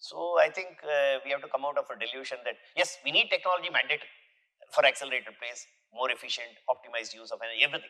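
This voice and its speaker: With an Indian accent, a man speaks at a very fast pace. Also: big swings in loudness. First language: an Indian language, not English. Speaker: university vice chancellor. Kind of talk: podcast interview. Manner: halting, with many self-corrections.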